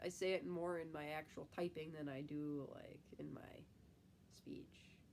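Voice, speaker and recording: A woman with a Midwestern accent. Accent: Midwest. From US Midwest. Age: 20s. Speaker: type one diabetic YouTuber, nursing student. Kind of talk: casual live stream chat.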